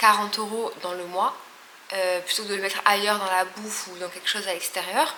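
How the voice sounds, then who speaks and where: Over noticeable background noise, a woman speaks at a fairly quick pace. Her pitch is medium and her intonation fairly even. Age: 20s. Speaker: lifestyle vlogger. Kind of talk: casual vlog talk to camera.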